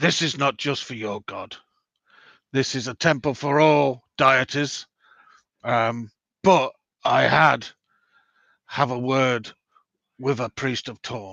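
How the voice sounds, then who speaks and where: This man uses a put-on character voice that is raspy, with medium pitch and fairly even intonation. He talks at a fairly slow pace, leaving long, frequent pauses. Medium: actual play. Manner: earnest, halting.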